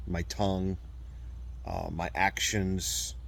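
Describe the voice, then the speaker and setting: Very deep, low male voice with audible room echo. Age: 40s. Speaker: abuse survivor and video blogger. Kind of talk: personal testimony monologue. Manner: halting.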